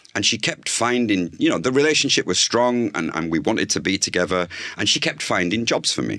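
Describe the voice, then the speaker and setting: A fairly low-pitched man in a Yorkshire accent, with lively intonation and a fairly quick pace. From northern England, Bradford. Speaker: food journalist and communications consultant. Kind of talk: interview conversation.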